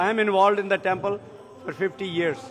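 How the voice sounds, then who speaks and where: Noticeable background noise accompanies a man talking in a high voice. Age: 70s. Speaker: temple volunteer. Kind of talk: interview.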